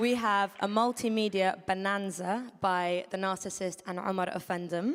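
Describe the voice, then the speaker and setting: A woman's medium-pitched voice with a British accent and fairly even intonation. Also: moderate pace, very clean recording, silent background. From London, England. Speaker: event host. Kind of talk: event MC introduction. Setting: stage with audience.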